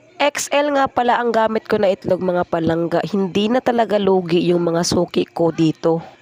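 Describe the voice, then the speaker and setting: Speaking at a moderate pace with hardly any pauses, a woman at medium pitch uses lively intonation and very even loudness in a dry, close sound with no echo, against noticeable background noise. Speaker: vlogger and street food vendor. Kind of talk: cooking vlog narration. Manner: casual, chatty.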